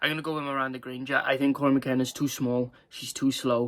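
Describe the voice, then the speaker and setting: On a very clean recording with a silent background, a man with a Welsh accent and a medium pitch talks at a very fast pace. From Wales. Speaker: MMA YouTuber. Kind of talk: casual fight predictions monologue. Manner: hesitant, many fillers and stumbles.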